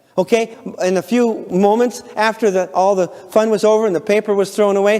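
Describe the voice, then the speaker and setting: Over noticeable background noise, a man with an American accent speaks at a high pitch. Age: 60s. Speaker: parenting seminar teacher. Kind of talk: lecture.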